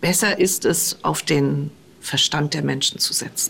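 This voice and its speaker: A woman's voice with vocal fry at a fairly slow pace. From eastern Germany. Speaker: politician. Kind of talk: interview. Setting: remote call from office.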